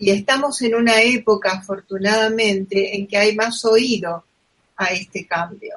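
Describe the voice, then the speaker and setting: Delivered at a fairly slow pace, an unremarkable speaking voice keeps a fairly even intonation. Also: woman, medium pitch for a woman. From Argentina. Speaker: podcast host. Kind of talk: interview.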